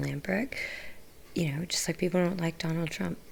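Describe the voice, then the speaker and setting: A woman speaks softly. Her intonation is lively. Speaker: political livestreamer. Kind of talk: livestream monologue answering chat. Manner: soft-spoken.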